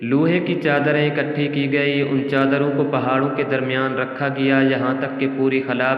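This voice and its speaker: A man's fairly high voice in monotone, flat intonation, against noticeable background noise. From Pakistan. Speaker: voice-over artist. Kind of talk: Islamic story narration.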